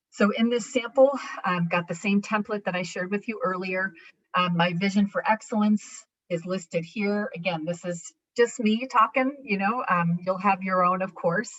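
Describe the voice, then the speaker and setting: Someone speaks with a normal speaking voice and an American accent. The pace is moderate, with ordinary pitch variation. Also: woman, medium pitch for a woman. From New York. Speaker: education presenter. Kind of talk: conference presentation.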